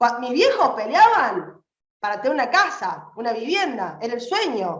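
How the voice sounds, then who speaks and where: This woman talks fairly slowly in a high pitch. Her pitch swings very widely. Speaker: political activist. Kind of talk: political speech. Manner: impassioned.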